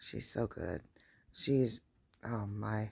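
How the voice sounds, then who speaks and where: A loud woman's voice, very deep and low, with vocal fry, very wide pitch swings and a very slow pace. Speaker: crochet vlogger. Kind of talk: casual chat while crocheting. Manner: hesitant, many fillers.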